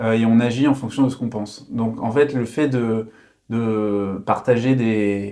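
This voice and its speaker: At a fairly slow pace, a man talks in a dark, mellow tone at a medium pitch, his intonation fairly even. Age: 30s. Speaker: social entrepreneur. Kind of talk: interview. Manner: halting, many fillers.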